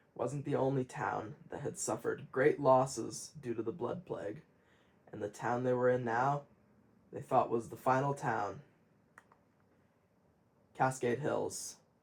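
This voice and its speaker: Somewhat breathy, a man speaks at medium pitch with fairly even intonation. His pace is fairly slow, with long, frequent pauses. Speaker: gaming video narrator. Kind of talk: story narration over gameplay. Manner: some stuttering.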